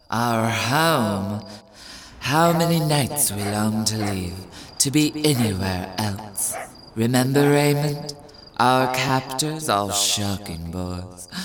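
A man speaks in a put-on character voice with a theatrical tone. He goes at a very slow pace over clear background noise. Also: medium pitch for a man. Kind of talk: 1920s glamour-star affectation. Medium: audio drama. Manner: arch, theatrical, affectionately mocking.

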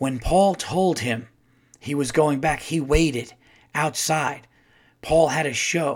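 A man puts on a raspy, dramatic character voice at a fairly high pitch, going fairly slowly with long, frequent pauses in a very clean recording with a silent background. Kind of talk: formal narration. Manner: grave, dramatic.

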